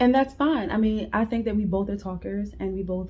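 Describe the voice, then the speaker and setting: The speaker is a woman with a medium pitch. Her tone is dark and mellow. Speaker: married couple channel co-host. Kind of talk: casual chat. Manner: loud.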